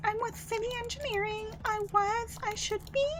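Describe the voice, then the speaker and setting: A woman's squeaky, put-on character voice at a moderate pace over loud background noise. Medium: virtual streamer. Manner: terse, halting.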